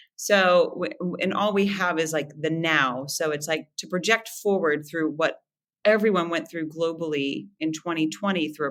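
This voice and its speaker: Speaking at a moderate pace, a woman with an American accent uses a bright, sharp tone. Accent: American, nasal. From West Virginia, Moundsville. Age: 40s. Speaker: former dancer and business owner. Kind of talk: podcast interview. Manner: animated.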